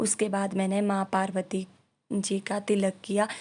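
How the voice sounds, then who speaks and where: Against a quiet background, a woman speaks in a dark, mellow tone. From rural northern India. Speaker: vlogger. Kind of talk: ritual tutorial. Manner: casual, with hesitations.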